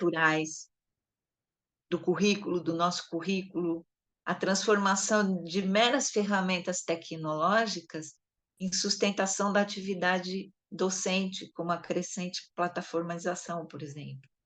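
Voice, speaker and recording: Here a woman talks at a fairly slow pace. Her medium-pitched voice has fairly even intonation. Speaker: education supervisor coordinating a study session. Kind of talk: lecture.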